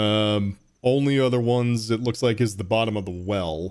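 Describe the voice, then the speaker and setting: Mumbling, a man talks with ordinary pitch variation. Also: very clean recording, silent background. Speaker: video game streamer. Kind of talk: casual gameplay commentary. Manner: mumbling to himself.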